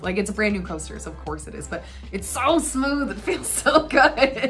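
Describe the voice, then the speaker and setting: At a moderate pace, a woman talks while music plays behind her. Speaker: travel vlogger. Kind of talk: casual talk to camera.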